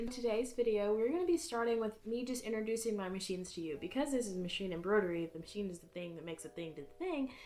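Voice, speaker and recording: Over noticeable background noise, a speaker with an American accent talks at a very fast pace with lively intonation. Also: woman. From US South, Atlanta, Georgia. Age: 20s. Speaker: embroidery hobbyist and student. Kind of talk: casual introductory vlog / tutorial. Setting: home craft room. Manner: casual, chatty.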